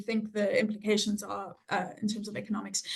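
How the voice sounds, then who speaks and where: A very fast woman's voice, fairly high-pitched and monotone with flat intonation, in a South African accent. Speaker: health economics researcher. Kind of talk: interview. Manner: hesitant, many fillers.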